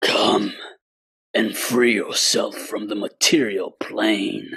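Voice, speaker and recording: Raspy and very slow, the delivery is a put-on character voice. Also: man. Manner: tempting, ominous.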